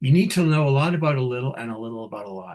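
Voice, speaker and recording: A man with a Canadian accent talks at a fairly quick pace, his voice somewhat breathy and his intonation lively. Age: 60s. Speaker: nurse leader giving a keynote. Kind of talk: keynote talk. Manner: animated.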